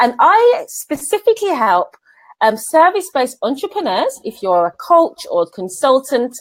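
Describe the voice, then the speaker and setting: A woman speaks with a Birmingham accent at a high pitch. Her pitch swings very widely, in a dry, close sound with no echo. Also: moderate pace. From England, Birmingham. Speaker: business coach. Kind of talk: live stream interview. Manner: animated.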